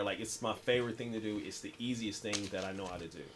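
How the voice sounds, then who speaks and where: Noticeable background noise sits under a man speaking with an American accent at a medium pitch with ordinary pitch variation. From US Midwest, Southside Kansas City. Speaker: writer and speaker. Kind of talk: interview. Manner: repetitive, halting; animated.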